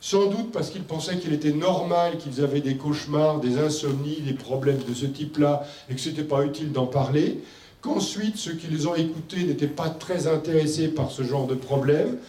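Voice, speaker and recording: A man with a fairly high pitch speaks at a moderate pace with fairly even intonation. Audible room echo and noticeable background noise surround him. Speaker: medical doctor and expert speaker. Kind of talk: conference presentation. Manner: loud; hesitant with fillers.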